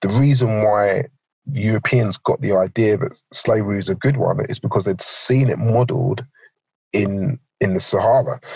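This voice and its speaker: Over a dry, close sound with no echo, a man speaks at a fairly slow pace with medium pitch and ordinary pitch variation. His voice is somewhat breathy, with long, frequent pauses. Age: 40s. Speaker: pastor. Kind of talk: interview.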